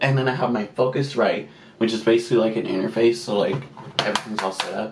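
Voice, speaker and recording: With audible room echo and noticeable background noise around him, a man talks at a moderate pace. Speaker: beauty vlogger. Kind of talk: casual chat.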